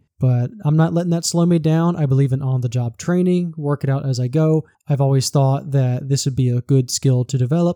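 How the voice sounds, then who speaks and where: With a Southern US accent, a man talks at a fairly quick pace in a fairly high pitch, his tone dark and mellow. His loudness stays very even, he hardly pauses, and the sound is dry and close with no echo. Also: fairly even intonation. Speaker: podcast host and forester. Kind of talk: solo scripted podcast narration.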